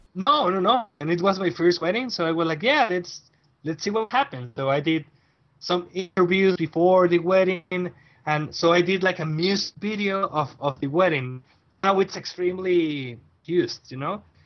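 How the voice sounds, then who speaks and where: The speaker is a man with a Mexican accent and a high voice. He talks at a moderate pace with ordinary pitch variation. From northern Mexico, Reynosa. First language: Spanish. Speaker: wedding photographer. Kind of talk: casual interview. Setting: at home. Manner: halting.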